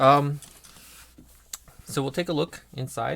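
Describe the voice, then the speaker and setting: A soft-spoken man. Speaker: lock picking hobbyist. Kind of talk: tutorial. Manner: halting.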